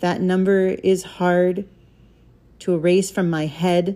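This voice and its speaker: A woman speaks with an American accent in a fairly low pitch. Her tone is solemn. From Alaska, US. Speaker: podcast host and poet. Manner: earnest; measured, deliberate, solemn cadence with rhythmic emphasis in the poem.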